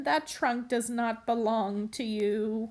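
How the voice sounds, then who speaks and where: A woman puts on a character voice, speaking fairly slowly at a fairly high pitch. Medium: read story.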